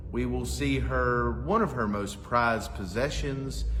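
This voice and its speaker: A man talks at a very slow pace. Noticeable background noise is present behind him. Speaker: town cultural administrator. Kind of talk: interview questions.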